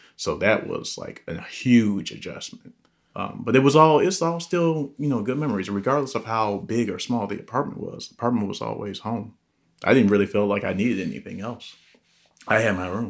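A man's medium-pitched voice, an ordinary speaking voice, with lively intonation at a fairly quick pace. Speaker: host's brother. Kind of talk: casual chat.

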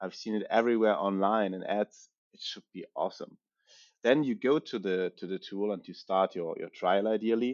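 A man with a German accent talks at a moderate pace and a fairly low pitch, using ordinary pitch variation while his loudness swings widely. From Germany. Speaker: tech startup founder. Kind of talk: interview. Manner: halting.

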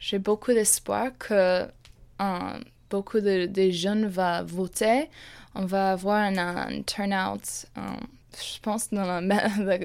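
An English accent comes through at a very slow pace with fairly even intonation. The recording is very clean, with a silent background. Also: woman. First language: English (speaking French). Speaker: university student. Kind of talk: interview. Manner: halting.

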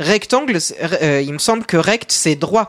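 A dry, close sound with no echo, and a man's high-pitched voice with a slight Belgian accent. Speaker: math columnist. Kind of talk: casual explanatory panel chat.

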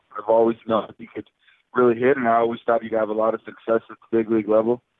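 A man with an American accent rattles along at a very fast pace in a flat monotone, his loudness swinging widely. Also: medium pitch for a man. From South Florida. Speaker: professional baseball player. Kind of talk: interview.

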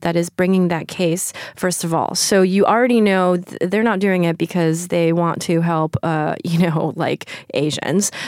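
A woman with a New York accent speaks at a medium pitch and a fairly slow pace. The sound is dry and close, with no echo. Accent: American (New York). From New York, raised from age five. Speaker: writer and poet. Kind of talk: casual interview conversation. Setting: recording with hosts in France.

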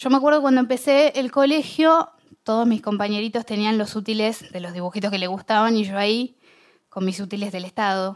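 At a fairly quick pace, a woman talks with a fairly high pitch in an unremarkable speaking voice. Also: ordinary pitch variation. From Argentina, Bahía Blanca. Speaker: public speaker. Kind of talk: talk to an audience.

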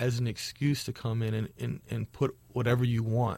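On a very clean recording with a silent background, a man speaks in a somewhat breathy voice. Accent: American. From Chicago, Hyde Park. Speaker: muralist and nonprofit founder. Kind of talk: interview.

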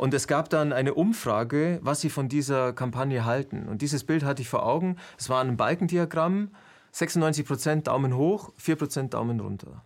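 A man with a plain, everyday voice, fairly high pitch, ordinary pitch variation and a moderate pace, on a very clean recording with a silent background. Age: 50s. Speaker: video interviewer and presenter. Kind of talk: interview conversation.

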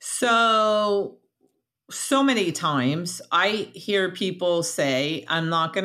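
On a very clean recording with a silent background, a woman with an American accent speaks in a bright, sharp tone with ordinary pitch variation. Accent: New York area, toned down. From New York / New Jersey. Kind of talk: casual interview.

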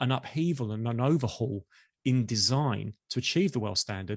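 A man in a normal speaking voice at medium pitch and a fairly quick pace, against a quiet background. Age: 50s. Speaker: marketing executive. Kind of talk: interview.

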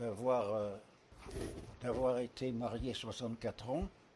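Medium pitch from a man, with ordinary pitch variation. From Paris, France. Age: 90s. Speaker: retirement home resident, widower. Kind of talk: interview, life story. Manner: hesitant, frequent fillers and repetitions.

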